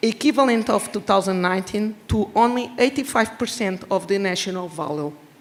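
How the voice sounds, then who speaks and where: With a Portuguese accent, a woman speaks with ordinary pitch variation over noticeable background noise. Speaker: regional government official. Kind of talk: prepared speech read aloud. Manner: halting.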